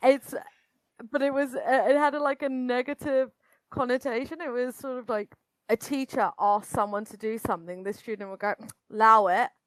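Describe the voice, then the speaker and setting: With a British accent and a high pitch, a woman talks at a fairly quick pace with ordinary pitch variation, long and frequent pauses and big swings in loudness, in a dry, close sound with no echo. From Britain. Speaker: astrologer. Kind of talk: casual chat.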